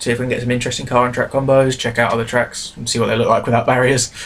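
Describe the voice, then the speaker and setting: A man with a British accent talks at a very fast pace. Noticeable background noise can be heard. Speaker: gaming YouTuber. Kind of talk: live gameplay commentary. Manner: hesitant, many fillers.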